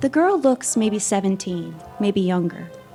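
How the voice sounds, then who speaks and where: Music plays in the background as a woman of medium pitch speaks at a fairly slow pace. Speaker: audio drama performer. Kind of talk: second-person gothic horror narration. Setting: live event.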